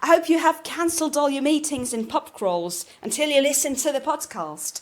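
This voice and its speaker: A woman talks in a high pitch with lively intonation. Noticeable background noise runs behind her. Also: moderate pace. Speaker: English teacher. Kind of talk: educational podcast. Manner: casual, conversational.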